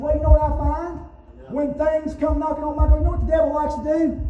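An animated tone at a very fast pace, with noticeable background noise. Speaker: preacher. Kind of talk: sermon. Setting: church with congregation. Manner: animated, call-and-response preaching, pausing for the congregation's amens; emphatic, repeating key words for punch.

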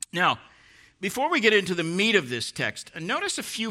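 A bright, sharp tone and lively intonation come through in a very clean recording with a silent background. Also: man. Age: 60s. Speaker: preacher. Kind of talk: sermon. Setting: church.

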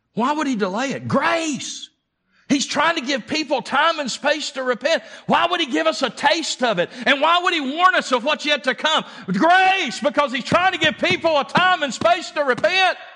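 Extremely high in pitch, a man's raised, projected voice carries lively intonation. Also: moderate pace. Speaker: preacher. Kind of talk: sermon. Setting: church. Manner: emphatic, preaching with urgent, pulpit-style delivery; call-and-response, pressing the congregation to answer.

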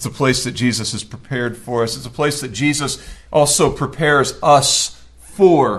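A man with an American accent speaks in a fairly high, somewhat breathy voice. His loudness swings widely, and he hardly pauses. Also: ordinary pitch variation, moderate pace. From US South, rural Georgia. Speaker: pastor. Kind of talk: sermon. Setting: church.

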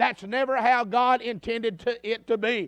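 Animated in tone, a man talks with a Southern US accent. The sound is dry and close with no echo over a quiet background. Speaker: preacher. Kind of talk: sermon at tent revival. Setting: church tent revival with live congregation. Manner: animated, pulpit-style exhortation, direct and blunt; conversational and folksy, with repeated asides to the crowd.

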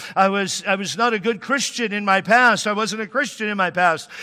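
A man's high, bright, sharp voice, raised and projected, with an American accent. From Washington State, US. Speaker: pastor. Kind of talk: sermon. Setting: church.

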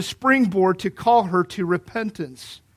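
The recording is very clean, with a silent background. A man with an American accent speaks at a moderate pace with fairly even intonation. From Kentucky. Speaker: pastor. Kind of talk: sermon.

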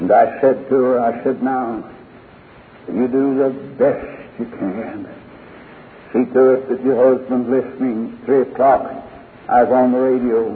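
Man with an American accent and medium pitch, monotone, flat intonation, long, frequent pauses, and noticeable background noise. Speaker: preacher. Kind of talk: sermon. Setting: church.

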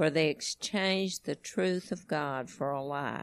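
A woman speaks with a very deep, low pitch at a fairly slow pace. The sound is dry and close with no echo, over a quiet background. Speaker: congregation member reading scripture. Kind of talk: reading aloud.

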